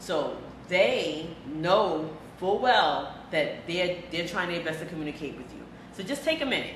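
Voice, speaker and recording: Speaking at a fairly slow pace with a fairly low pitch and ordinary pitch variation, a woman swings widely in loudness amid noticeable background noise and audible room echo. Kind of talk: interview.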